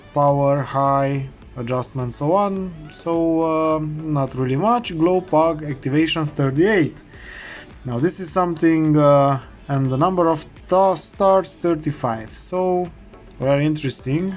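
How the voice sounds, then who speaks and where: With a non-native accent, this speaker goes at a fairly slow pace. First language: not English. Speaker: heater repair technician. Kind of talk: tutorial. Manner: hesitant, many fillers.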